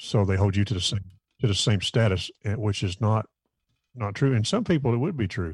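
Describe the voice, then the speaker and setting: A somewhat breathy, fairly low male voice at a fairly quick pace, with ordinary pitch variation against a quiet background. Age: 50s. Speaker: bass player. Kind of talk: casual chat. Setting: video call.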